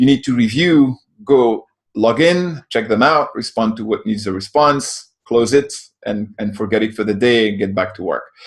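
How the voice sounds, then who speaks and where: A man with a French accent speaks at a moderate pace in a medium pitch with ordinary pitch variation. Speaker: software company co-founder. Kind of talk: interview answer.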